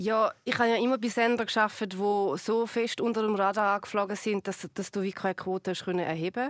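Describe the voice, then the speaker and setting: A woman speaks at a medium pitch with fairly even intonation and hardly any pauses. The recording is very clean, with a silent background and a dry, close sound with no echo. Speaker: TV presenter and comedian. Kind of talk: casual chat. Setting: studio.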